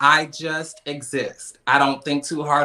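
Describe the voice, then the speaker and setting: The voice belongs to a man. His tone is bright and sharp. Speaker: podcast host. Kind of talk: casual chat. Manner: animated.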